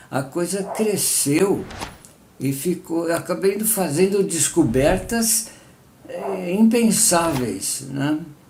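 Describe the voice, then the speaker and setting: Lively intonation at a very slow pace, with noticeable background noise. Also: man, high pitch for a man. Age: 80s+. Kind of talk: personal testimony. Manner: halting, with fillers.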